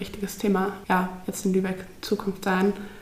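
A woman talks at a moderate pace with medium pitch and monotone, flat intonation. Audible room echo and noticeable background noise surround her. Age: 20s. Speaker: climate activist, psychology student. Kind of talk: casual interview.

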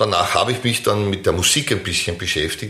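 Talking at a very fast pace, a man uses fairly low pitch with ordinary pitch variation. Audible room echo fills the recording. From Vienna, Austria. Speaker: podcast co-host, tango dancer. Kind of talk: casual chat.

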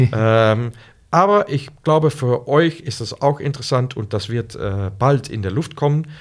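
A man with a Dutch accent at a very slow pace, medium pitch and lively intonation, on a very clean recording with a silent background. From Netherlands. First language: Dutch (speaking German). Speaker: Lego Serious Play facilitator. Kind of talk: casual podcast interview. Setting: in person in the host's office. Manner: halting, searching for words.

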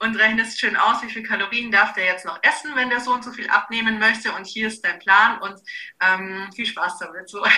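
A woman's fairly high-pitched voice at a moderate pace, with fairly even intonation, big swings in loudness and noticeable background noise. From Bavaria, Augsburg. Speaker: nutrition and fitness coach. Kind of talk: casual interview.

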